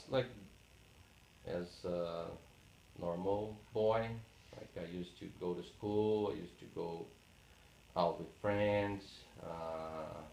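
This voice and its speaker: A man with a Portuguese accent talks at a very slow pace in a very deep, low pitch with ordinary pitch variation. Long, frequent pauses break up his speech, and room echo is audible. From Brazil, Paraná. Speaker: oral history interviewee. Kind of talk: interview. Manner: halting, many fillers.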